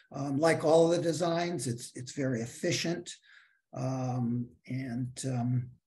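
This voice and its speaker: The man's voice has a dark, mellow tone, somewhat breathy, at a medium pitch with ordinary variation. He speaks at a very slow pace. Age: 60s. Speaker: housing developer. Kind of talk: project presentation.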